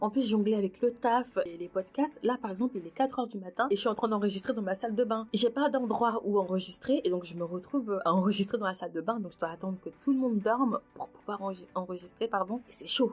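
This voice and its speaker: Her pitch is fairly high and varies in an ordinary way. The woman speaks at a fairly quick pace with hardly any pauses. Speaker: podcast host. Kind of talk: personal reflective monologue. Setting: recording in her bathroom at night. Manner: casual, hesitant.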